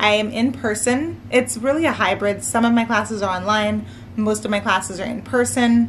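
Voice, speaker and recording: Noticeable background noise sits behind the speech. A woman speaks at a moderate pace. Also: fairly high pitch for a woman, ordinary pitch variation. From US, Maryland. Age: 20s. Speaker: nursing student vlogger. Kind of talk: casual chat. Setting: at home, sitting on living room floor. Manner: relaxed.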